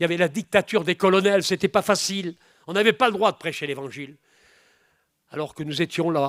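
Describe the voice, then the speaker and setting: The recording is very clean with a silent background. A man with a high pitch talks at a fairly quick pace, with ordinary pitch variation and long, frequent pauses. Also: dry, close sound with no echo. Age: 70s. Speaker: preacher. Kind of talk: sermon. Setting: church. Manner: animated.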